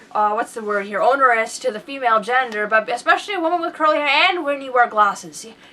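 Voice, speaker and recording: A woman speaks in a high voice at a very fast pace with very wide pitch swings. Noticeable background noise is heard. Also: big swings in loudness. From Britain. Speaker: podcast co-host. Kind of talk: casual chat.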